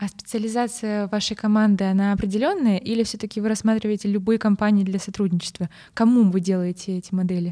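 Her tone is dark and mellow, at a medium pitch with fairly even intonation. The woman speaks at a very fast pace. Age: 20s. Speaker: podcast host, supply chain analyst. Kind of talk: interview.

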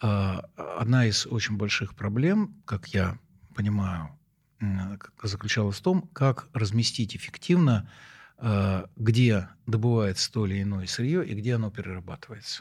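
A man's somewhat breathy, fairly low voice at a fairly slow pace, with ordinary pitch variation and long, frequent pauses, in a very clean recording with a silent background. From Moscow, Russia. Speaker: professor. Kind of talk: interview. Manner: halting.

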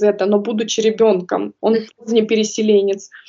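A woman's voice at a moderate pace. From Kazakhstan. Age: 30s. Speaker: early childhood educator. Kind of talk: interview.

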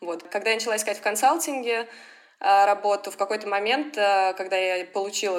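At a fairly quick pace, a woman talks in a medium pitch. She has an unremarkable speaking voice. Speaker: advertising sales professional. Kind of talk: interview.

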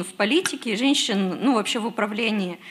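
A plain, everyday voice moves at a fairly quick pace with ordinary pitch variation. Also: woman. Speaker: audience member. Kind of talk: question from audience. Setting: stage with audience.

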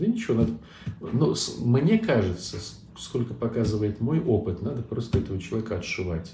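Amid noticeable background noise, a man at a medium pitch talks at a moderate pace. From Saint Petersburg, Russia. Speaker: Orthodox priest. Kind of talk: live online Q&A talk. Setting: online livestream.

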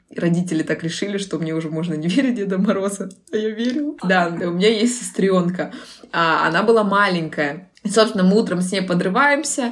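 A woman speaks at a fairly quick pace with a medium pitch and lively intonation, and audible echo fills the room. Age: 20s. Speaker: personal branding expert. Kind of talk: casual interview.

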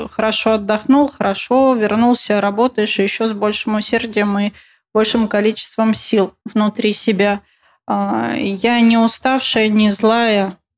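A woman speaks very slowly in a fairly high pitch, with monotone, flat intonation and very even loudness. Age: 30s. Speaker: interior designer. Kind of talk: interview.

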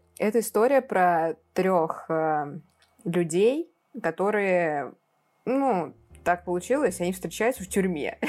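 A woman at medium pitch speaks at a very slow pace with lively intonation. Her speech has long, frequent pauses. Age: 20s. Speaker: film podcast co-host. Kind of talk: casual chat.

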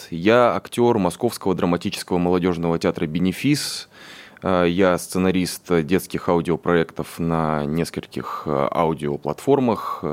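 Very deep and low, a man's voice moves at a fairly slow pace with ordinary pitch variation. His loudness stays very even. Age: 30s. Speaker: stage actor and scriptwriter. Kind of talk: radio interview. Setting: studio.

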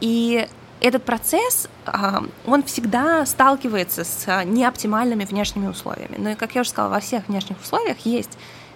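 This woman talks at a moderate pace with a fairly high pitch and ordinary pitch variation while noticeable background noise plays behind her. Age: 30s. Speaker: podcast host. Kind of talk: solo podcast talk. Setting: home by the ocean.

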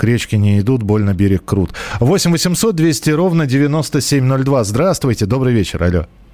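Delivered at a fairly slow pace over noticeable background noise, the voice makes very wide pitch swings while its loudness stays very even. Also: man, medium pitch for a man. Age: 40s. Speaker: radio host. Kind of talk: live call-in radio show. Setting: radio studio. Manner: conversational, hesitant fillers.

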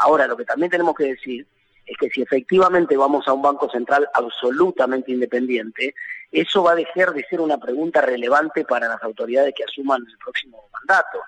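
A man's fairly high voice at a very fast pace, ordinary pitch variation, with a dry, close sound and no echo. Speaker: economist and national congressman. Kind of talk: phone interview.

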